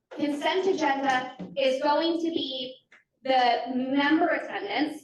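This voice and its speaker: A woman speaks loudly at a high pitch, with audible room echo. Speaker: committee meeting facilitator. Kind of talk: committee meeting.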